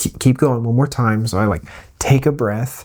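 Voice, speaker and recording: A man, soft-spoken. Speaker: streamer and vlogger. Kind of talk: casual vlog storytelling. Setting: not in usual recording space at home. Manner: soft-spoken, keeping voice low.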